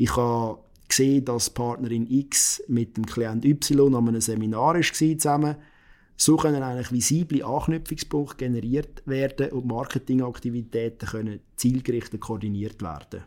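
A man's dark, mellow tone comes through in a very clean recording with a silent background. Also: medium pitch for a man, ordinary pitch variation, moderate pace. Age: 30s. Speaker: lawyer. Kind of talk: interview.

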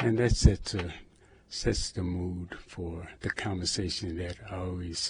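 A man speaks at a moderate pace with a very deep, low pitch. His voice is somewhat breathy, with fairly even intonation. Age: 70s. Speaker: activist and former prisoner. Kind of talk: radio interview. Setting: radio studio.

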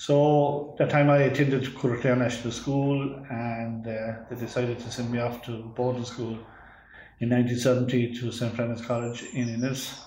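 With an Irish accent, a man talks at a moderate pace and medium pitch in a monotone, flat intonation, with audible room echo. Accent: Irish (Clare). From Ireland, West Clare. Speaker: agricultural research scientist. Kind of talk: interview.

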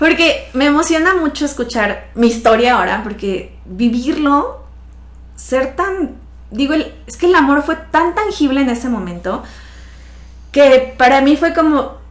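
High-pitched woman's voice with lively intonation, plus audible room echo and noticeable background noise. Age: 30s. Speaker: financial advisor, accident survivor. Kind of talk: interview testimony.

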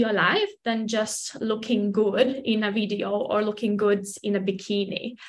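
At a moderate pace, a woman speaks with a Latvian accent. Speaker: personal trainer. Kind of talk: casual interview.

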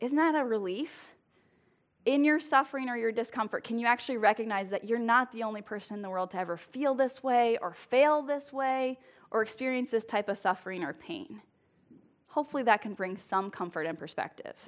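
A woman with an ordinary speaking voice talks at a fairly quick pace, her fairly high pitch carrying lively intonation on a very clean recording with a silent background. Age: 30s. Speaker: lay preacher, small group leader. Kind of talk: sermon. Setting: church with congregation. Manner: casual, laughing.

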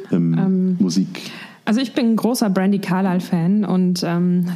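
This woman's voice sits at a medium pitch with fairly even intonation, and noticeable noise runs in the background. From Germany, Mainz area. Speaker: singer in a band. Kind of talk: casual interview.

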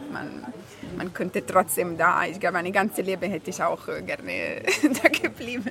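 A woman with an Italian accent speaks at a moderate pace over noticeable background noise. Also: big swings in loudness. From Italy. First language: Italian (speaking German). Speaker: pianist. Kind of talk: casual interview chat. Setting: café.

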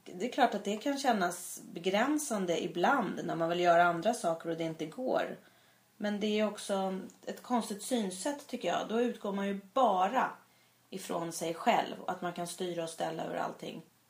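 A woman speaks at a medium pitch and a moderate pace. Her pitch varies in an ordinary way, and she has an ordinary speaking voice. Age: 40s. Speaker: podcast co-host. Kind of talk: casual chat.

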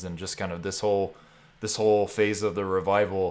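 Fairly quick male speech with an unremarkable speaking voice, fairly low in pitch, on a very clean recording with a silent background. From Texas Panhandle. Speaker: podcast host. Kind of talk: casual interview chat.

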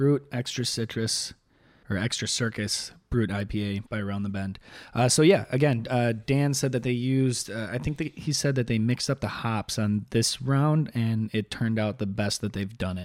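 With a Chicago accent, a man speaks at medium pitch and a moderate pace, with ordinary pitch variation, on a very clean recording with a silent background. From Chicago South Side. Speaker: beer content creator. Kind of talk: casual chat.

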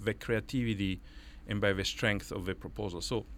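A man speaks with an Italian accent. The recording is very clean, with a silent background. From Italy. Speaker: professor and anthropologist. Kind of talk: interview. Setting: studio.

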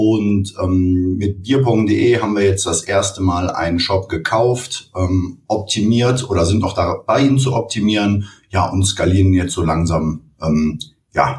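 A somewhat breathy, fairly low male voice at a fairly slow pace, with ordinary pitch variation. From Cologne, Germany. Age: 30s. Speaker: e-commerce entrepreneur. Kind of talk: interview.

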